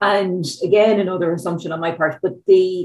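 A woman with an Irish accent and a fairly low pitch. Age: 40s. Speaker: policy analyst, podcast host. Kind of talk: interview.

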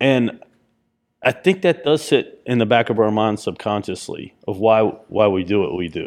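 Man with an unremarkable speaking voice, medium pitch, lively intonation and a moderate pace. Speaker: podcast co-host. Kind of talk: casual chat. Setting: in person.

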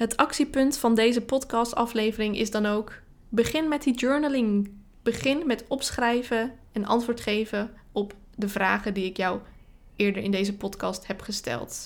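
The delivery is fairly slow. Pitch moves up and down in an ordinary way. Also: woman, fairly high pitch for a woman. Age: 30s. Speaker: marketing coach podcaster. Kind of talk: solo podcast monologue.

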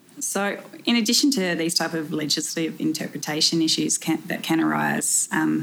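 With an Australian accent, a woman speaks at a moderate pace in a fairly low pitch. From South Australia. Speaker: solicitor. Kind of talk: interview.

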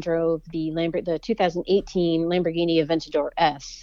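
Here is an ordinary speaking voice, a woman of medium pitch. She keeps to a moderate pace. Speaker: automotive journalist. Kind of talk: casual interview chat.

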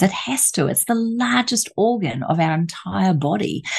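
A woman's fairly low voice with vocal fry and very wide pitch swings at a moderate pace. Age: 50s. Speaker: aromatherapist and author.

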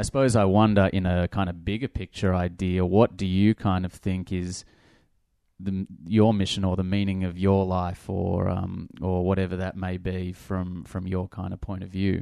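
With an Australian accent, a man speaks at a moderate pace in a very deep, low pitch, his tone dark and mellow and his intonation flat and monotone, over a quiet background. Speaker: podcast host. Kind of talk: casual interview.

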